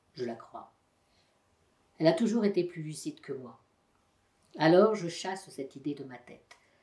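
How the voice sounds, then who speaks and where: A woman's fairly low, dark and mellow voice at a moderate pace. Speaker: volunteer voice donor. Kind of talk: novel reading.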